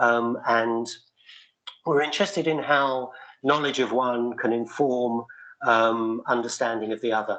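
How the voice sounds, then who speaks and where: A man with an American accent talks at a fairly slow pace, his medium pitch moving with ordinary variation. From UK. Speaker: researcher presenting to city agencies. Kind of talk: meeting presentation. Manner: halting, many repetitions and fillers.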